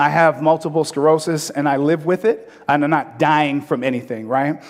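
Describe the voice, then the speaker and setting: A fairly high-pitched man at a moderate pace, with ordinary pitch variation. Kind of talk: pitch presentation. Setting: stage with audience and microphone. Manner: loud; animated, joking.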